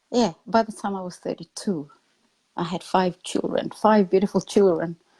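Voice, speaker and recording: A somewhat breathy woman's voice at medium pitch with a dark, mellow tone, fairly even intonation and a moderate pace, in a dry, close sound with no echo. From Papua New Guinea. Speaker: motivational speaker. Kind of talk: interview testimony.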